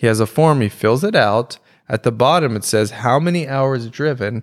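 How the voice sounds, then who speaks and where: A man's ordinary speaking voice at medium pitch, with ordinary pitch variation, a moderate pace and a very clean recording over a silent background. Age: middle-aged. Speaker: stand-up comedian and podcast host. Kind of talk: casual chat.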